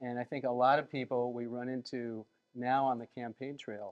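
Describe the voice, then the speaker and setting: Medium in pitch, a man speaks at a moderate pace with fairly even intonation. The sound is dry and close, with no echo. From United States, Colombian-American family. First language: Spanish. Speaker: candidate's husband. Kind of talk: interview. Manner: hesitant, many fillers.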